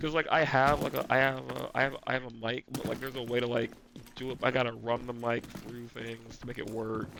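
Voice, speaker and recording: Monotone and flat in intonation, a man at medium pitch talks at a fairly quick pace. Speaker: gaming streamer. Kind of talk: casual chat while gaming. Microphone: gaming headset mic, poor quality.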